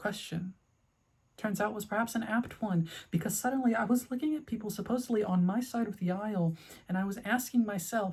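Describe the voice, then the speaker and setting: Her pitch is fairly high and her pitch variation ordinary. The woman talks fairly quickly in a somewhat breathy voice. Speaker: video essayist. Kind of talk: personal video essay. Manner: stuttering.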